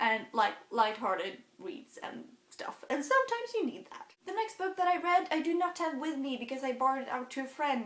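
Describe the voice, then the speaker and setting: Speaking with a Swedish accent at a moderate pace, this voice moves through very wide pitch swings. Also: woman. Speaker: book vlogger. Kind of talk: casual book review monologue. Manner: halting.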